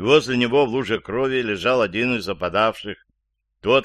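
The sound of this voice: Against a quiet background, an unforced reading voice keeps a fairly even intonation.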